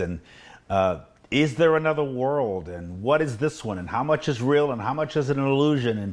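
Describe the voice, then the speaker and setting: This man's delivery has a moderate speed and lively intonation. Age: 60s. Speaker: preacher. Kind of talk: talk on faith. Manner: halting.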